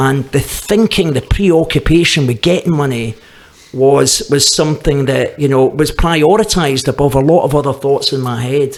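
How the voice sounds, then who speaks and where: A man speaks with a Glaswegian accent at a fairly high pitch. His pace is moderate and his pitch varies in an ordinary way. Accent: Glaswegian Scottish. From Scotland, Glasgow. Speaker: recovering addict. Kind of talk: testimony. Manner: halting, with repetitions.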